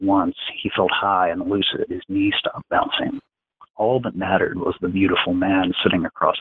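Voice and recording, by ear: A quiet background behind natural-voiced reading aloud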